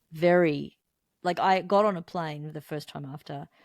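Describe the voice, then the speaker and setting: Fairly low female voice in an Australian accent, with ordinary pitch variation and a dry, close sound with no echo on a very clean recording with a silent background. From Melbourne, Australia. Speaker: musician, songwriter, guitarist. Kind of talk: interview answer.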